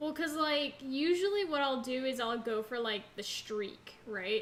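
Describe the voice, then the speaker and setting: Music plays in the background as a woman with a high voice speaks at a very slow pace. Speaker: gaming streamer. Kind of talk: live gameplay commentary. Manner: casual, filler-heavy.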